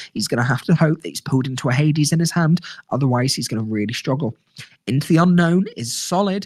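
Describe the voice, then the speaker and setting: A man races along at a very fast pace with a fairly high pitch and lively intonation. His voice is somewhat breathy. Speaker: live gaming commentator. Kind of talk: live commentary. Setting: game store, live stream. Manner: lowered, quieter than usual.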